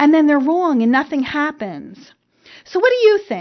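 The speaker has a New Jersey accent. The pitch swings very widely. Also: woman. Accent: New Jersey, noticeable. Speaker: elder care expert and podcast host. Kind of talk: casual chat, podcast monologue. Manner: chatty, hesitant with many fillers.

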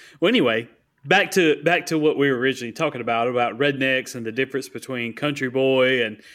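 In a Southern US accent, a man talks at a medium pitch with fairly even intonation on a very clean recording with a silent background. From US South. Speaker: podcast co-host. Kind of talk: casual chat.

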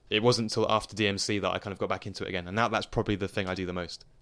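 A man's monotone, flat delivery with a British accent, on a very clean recording with a silent background. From England, London suburbs. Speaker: DJ and producer. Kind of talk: casual interview. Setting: studio. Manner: hesitant, many fillers.

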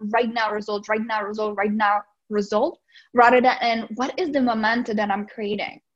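With a slight Czech accent, a woman speaks at a fairly high pitch. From Czech Republic. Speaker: life and business coach. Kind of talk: podcast interview.

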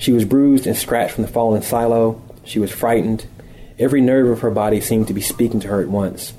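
Here is an unforced reading voice. Its intonation stays fairly even.

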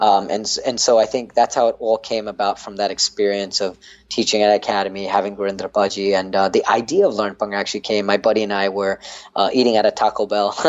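Very fast speech comes from a man with an American accent. His voice is fairly low and monotone, with flat intonation. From North Carolina. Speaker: dance instructor, app founder. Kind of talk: casual interview.

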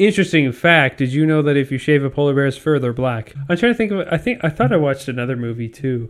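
A man at a very fast pace with a fairly high pitch, lively intonation and hardly any pauses. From Canada. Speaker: podcast co-host. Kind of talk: casual chat. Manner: animated, laughing often.

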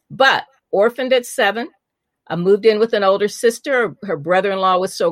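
A woman with a Midwestern US accent, medium-pitched and lively in intonation, at a fairly quick pace, in a dry, close sound without echo. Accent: General American, Midwestern. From US Midwest, Indianapolis. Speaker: author and former TV journalist. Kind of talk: interview, storytelling.

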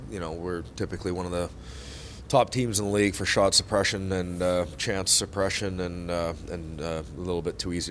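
His pitch very deep and low, a man speaks at a fairly quick pace with ordinary pitch variation. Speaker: hockey head coach. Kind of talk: post-game press conference. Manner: halting, filler-heavy.

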